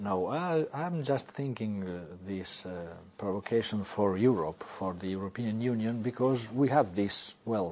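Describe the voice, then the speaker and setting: At a fairly slow pace, a man with a fairly low voice and an Italian accent speaks with lively intonation. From Italy. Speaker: novelist and newspaper columnist, language inventor. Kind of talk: interview. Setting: studio. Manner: halting.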